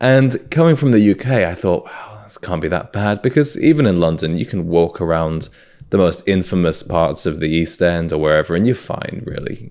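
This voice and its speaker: A man with a British accent talks at a moderate pace in a very deep, low pitch, with lively intonation and big swings in loudness. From UK, South Wales (Swansea). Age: 20s. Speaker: podcast host. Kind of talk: casual chat.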